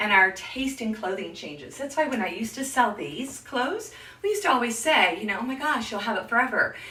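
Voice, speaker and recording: Over noticeable background noise and audible room echo, a woman speaks with a high pitch and very wide pitch swings. Her tone is animated and her pace fairly quick. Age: 60s. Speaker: image consultant. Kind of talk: live stream tutorial.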